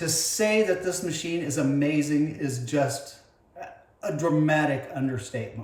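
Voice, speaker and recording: Fairly slow and somewhat breathy, a man talks at a fairly high pitch with audible room echo. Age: 60s. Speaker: home fitness vlogger. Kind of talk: unboxing video. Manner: hesitant, many fillers.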